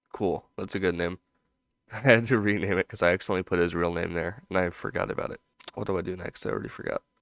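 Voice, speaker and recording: Quiet and dry, with a close sound and no echo, a man speaks at a fairly quick pace with fairly even intonation. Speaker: animator YouTuber. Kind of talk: casual commentary while drawing. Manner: talking quietly.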